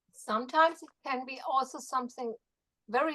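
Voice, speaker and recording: The speaker has a slight German accent. The pace is moderate. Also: woman. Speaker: Feldenkrais practitioner. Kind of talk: workshop discussion.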